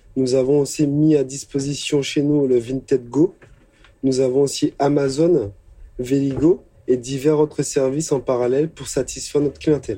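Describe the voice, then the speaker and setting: Pitched fairly high, a man's voice keeps its intonation mostly level. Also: moderate pace. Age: 30s. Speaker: convenience store manager. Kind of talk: interview testimony. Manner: hesitant with fillers.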